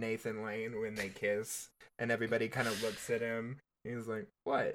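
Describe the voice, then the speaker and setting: A medium-pitched male voice with an American accent, on a very clean recording with a silent background. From Texas. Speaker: podcast co-host. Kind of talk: casual chat. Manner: animated.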